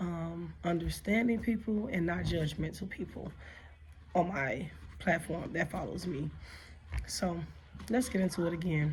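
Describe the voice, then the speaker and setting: In an American accent, a woman with a fairly low pitch speaks with vocal fry amid audible room echo. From Chicago, US Midwest. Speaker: vlogger and nursing assistant. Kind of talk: casual vlog monologue.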